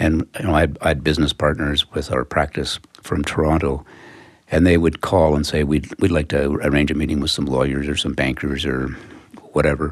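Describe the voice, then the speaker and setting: With a Western Canadian accent, a man speaks fairly quickly in a very deep, low pitch, his intonation monotone and flat, with vocal fry. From Calgary, Canada. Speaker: accountant. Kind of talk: interview. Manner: halting.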